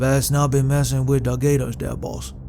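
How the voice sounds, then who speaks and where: A man's put-on character voice at a moderate pace over loud background noise. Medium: read story. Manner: drawling, laconic.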